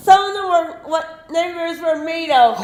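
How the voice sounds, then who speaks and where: A put-on character voice at extremely high pitch moves at a moderate pace, with a slight echo around it. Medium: stage play. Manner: rambling.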